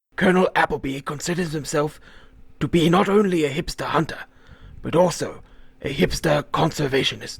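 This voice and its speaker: The raspy, put-on character voice moves at a fairly quick pace. Long, frequent pauses break up the speech. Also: man, fairly high pitch for a man. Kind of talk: mock wildlife documentary narration. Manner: calm, measured nature-documentary style.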